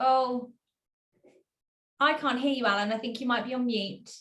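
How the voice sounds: In a room with audible echo, a woman speaks at a moderate pace. Her voice is fairly bright and fairly high, with ordinary pitch variation.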